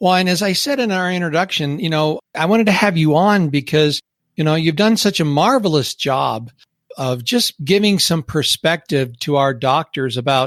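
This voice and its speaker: A man uses a normal speaking voice with lively intonation at a moderate pace, recorded with a dry, close sound with no echo. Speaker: podcast host. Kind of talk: podcast interview questions.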